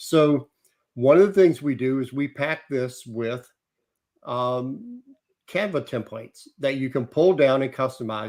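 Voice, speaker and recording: A man at medium pitch and a fairly slow pace. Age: 60s. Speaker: travel industry publisher. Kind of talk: interview.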